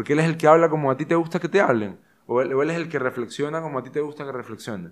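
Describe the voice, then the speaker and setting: A man speaks against a quiet background. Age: 20s. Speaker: actor, rugby player and show host. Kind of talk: interview, casual chat.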